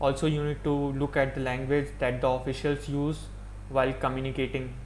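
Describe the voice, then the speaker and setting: Audible room echo surrounds a man with an Indian accent. He speaks at a fairly quick pace. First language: Hindi. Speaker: YouTuber. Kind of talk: opinion monologue.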